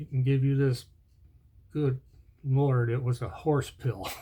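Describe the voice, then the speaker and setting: A man's somewhat breathy voice with a dark, mellow tone at a moderate pace. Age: 60s. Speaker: video blogger. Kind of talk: casual chat.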